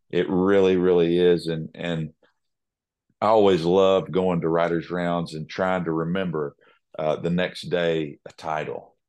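A man's very deep, low voice in a Southern US accent, monotone and flat, against a quiet background. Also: fairly slow pace. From Nashville, Tennessee. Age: 30s. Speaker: country singer-songwriter. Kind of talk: casual interview chat.

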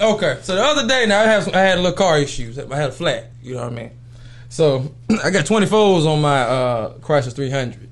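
Lively intonation marks this man's voice, which is fairly high in pitch. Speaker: podcast host. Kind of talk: casual chat. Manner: animated.

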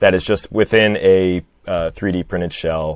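A man with a Midwestern American accent talks at a fairly slow pace and very deep, low pitch, with fairly even intonation, in a very clean recording with a silent background and a dry, close sound with no echo. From Michigan. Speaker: podcast guest co-host. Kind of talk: casual conversational.

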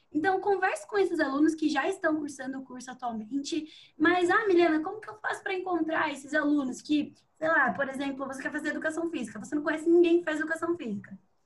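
Talking very fast, a woman uses a high pitch and lively intonation. Her loudness swings widely. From Sorocaba, São Paulo state. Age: 20s. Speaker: economics student. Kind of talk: casual interview chat.

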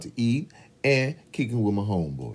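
Loud and animated, a man with a fairly low pitch speaks at a moderate pace, his pitch swinging very widely. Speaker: podcast co-host. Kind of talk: casual chat. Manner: loud, animated.

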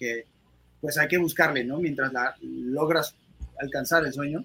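A man's fairly high, bright and sharp voice at a moderate pace, with fairly even intonation. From Mexico City. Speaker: actor. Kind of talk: interview.

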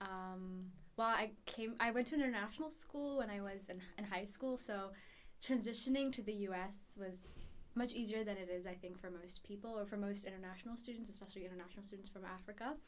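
Audible room echo surrounds a woman speaking at a fairly quick pace. Her medium pitch shows ordinary variation. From Ethiopia. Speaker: university student. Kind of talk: interview.

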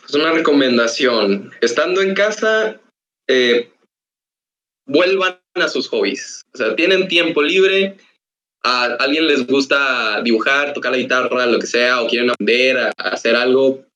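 The man's voice is fairly high-pitched, with a bright, sharp tone. He talks at a fairly slow pace. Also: lively intonation. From Mexico, Ciudad Victoria (Tamaulipas). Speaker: animation student. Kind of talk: casual podcast interview. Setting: online voice call.

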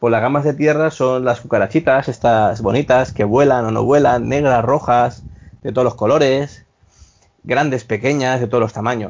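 This man has an ordinary speaking voice at medium pitch. He keeps a moderate pace and very even loudness. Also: fairly even intonation. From Spain, Valencia. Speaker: hospitality worker. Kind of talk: casual chat.

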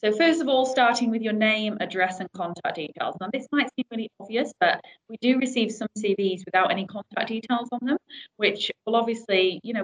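A woman talks at a fairly quick pace in an ordinary speaking voice, fairly high in pitch with ordinary pitch variation. The sound is dry and close, with no echo. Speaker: recruitment manager, webinar presenter. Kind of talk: webinar presentation. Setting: online webinar call.

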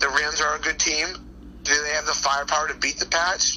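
The pace is fairly quick. It is a normal speaking voice. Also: man. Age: 40s. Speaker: football coach. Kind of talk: casual interview. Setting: phone call.

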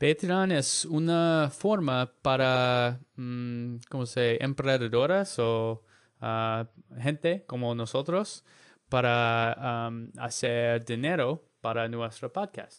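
A man at a medium pitch, very slow, with ordinary pitch variation against a quiet background. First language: English (learning Spanish). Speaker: podcast co-host, language learner. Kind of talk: casual chat. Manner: halting in Spanish.

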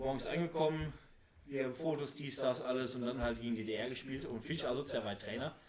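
A man at medium pitch with an unremarkable speaking voice, ordinary pitch variation and a fairly quick pace. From Oberhausen, Ruhr area, Germany. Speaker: amateur footballer and wrestler. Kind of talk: casual chat.

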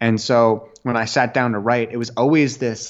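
A man with a Canadian accent has an ordinary speaking voice, a medium pitch and ordinary pitch variation. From Canada, Ottawa. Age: 20s. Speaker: YouTuber and author. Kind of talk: interview conversation.

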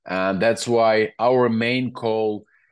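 A man with a Ukrainian accent speaks at a very slow pace with fairly even intonation. His pitch is medium, and the background is quiet. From Ukraine. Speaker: children's rights advocate. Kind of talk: interview. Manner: halting.

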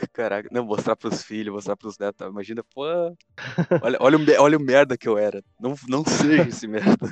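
In a strong gaúcho accent, a man talks fairly quickly at medium pitch with ordinary pitch variation and big swings in loudness, recorded dry and close with no echo. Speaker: podcast host. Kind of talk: casual chat.

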